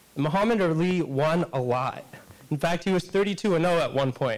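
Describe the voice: The pace is moderate and the pitch variation ordinary. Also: man.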